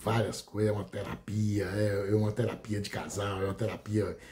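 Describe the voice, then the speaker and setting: A man speaks fairly quickly, his pitch sitting fairly low. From rural Brazil. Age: 60s. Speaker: law professor and content creator. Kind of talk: casual monologue to camera. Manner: hesitant, with fillers.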